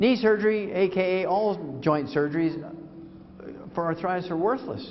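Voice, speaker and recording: A man speaks at a moderate pace with a high pitch and ordinary pitch variation. The room echo is audible, and there is noticeable background noise. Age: 70s. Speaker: health lecturer and supplement promoter. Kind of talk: live lecture. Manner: animated.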